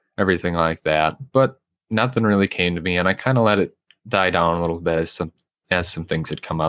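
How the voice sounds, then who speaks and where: This man's voice is very deep and low, with ordinary pitch variation and a fairly quick pace. The sound is dry and close, with no echo. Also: very clean recording, silent background. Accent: American. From US Midwest, southwestern Minnesota. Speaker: podcast host, emergency medical technician. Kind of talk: solo casual monologue.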